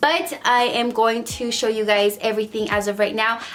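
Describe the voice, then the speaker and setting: A woman with a fairly high voice speaks at a moderate pace in an animated tone, with music in the background. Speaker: beauty vlogger. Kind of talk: casual product haul vlog.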